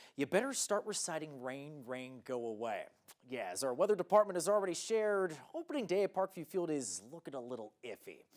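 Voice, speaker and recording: In a very clean recording over a silent background, a man talks with an American accent. His pace is fairly quick and his intonation lively. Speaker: sports reporter and anchor. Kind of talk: local TV sports news reporting. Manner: upbeat, energetic, conversational.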